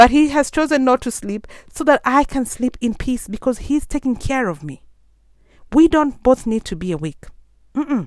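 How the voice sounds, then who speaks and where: In a very clean recording with a silent background, a woman with a high voice speaks at a moderate pace in an animated tone with lively intonation. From Kenya. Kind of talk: sermon.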